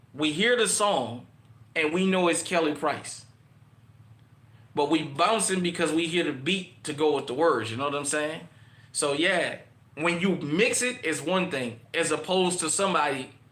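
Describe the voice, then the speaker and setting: A man's fairly high, bright, sharp voice at a moderate pace, with audible room echo. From New Orleans, uptown. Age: 40s. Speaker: online show host. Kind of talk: casual monologue livestream.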